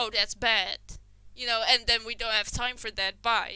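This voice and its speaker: With a non-native accent, a woman speaks at a moderate pace in a fairly high, bright, sharp voice with vocal fry. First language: not English. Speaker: podcast host. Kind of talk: casual chat.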